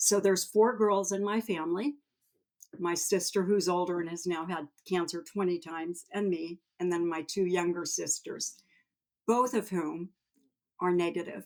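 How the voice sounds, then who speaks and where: At a moderate pace, a woman in a normal speaking voice talks at a medium pitch with ordinary pitch variation. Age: 60s. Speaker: cancer previvor and patient advocate. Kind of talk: podcast interview, personal testimony.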